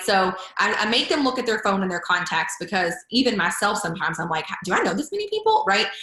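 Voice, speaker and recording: A woman at a fairly quick pace, against noticeable background noise. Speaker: network marketing business partner. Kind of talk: live Q&A session. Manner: fast.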